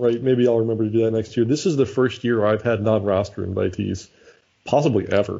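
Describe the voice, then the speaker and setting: Using a normal speaking voice, a man talks at a fairly quick pace and medium pitch, with fairly even intonation and very even loudness. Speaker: podcast host. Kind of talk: casual chat.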